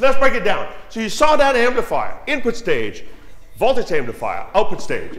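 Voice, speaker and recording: A loud male voice at a fairly quick pace, with ordinary pitch variation. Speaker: audio engineer giving a talk. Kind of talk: technical presentation to an audience. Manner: animated. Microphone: too quiet at first, moves closer to mic.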